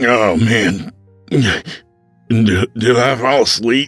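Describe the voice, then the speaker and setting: Over faint background music, a man does a raspy put-on character voice at a medium pitch and a very slow pace. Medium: read story. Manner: casual, slangy.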